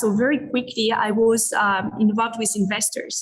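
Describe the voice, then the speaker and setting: Fairly high-pitched woman in a French accent, with fairly even intonation and a moderate pace. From France, Paris. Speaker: business executive. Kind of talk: interview conversation.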